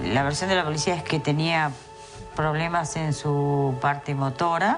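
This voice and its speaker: A woman's very deep, low voice at a fairly slow pace, ordinary pitch variation, music in the background. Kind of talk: interview answer.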